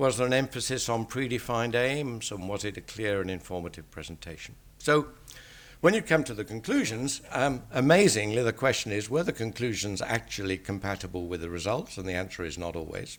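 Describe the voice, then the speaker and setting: With an English accent and lively intonation, a man speaks at a fairly quick pace in a very clean recording with a silent background. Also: medium pitch for a man. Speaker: statistician. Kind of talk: lecture.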